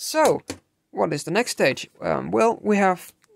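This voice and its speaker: The speaker talks at a moderate pace against a quiet background. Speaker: radio repair hobbyist. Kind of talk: unscripted tutorial talk to camera. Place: workshop. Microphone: phone near.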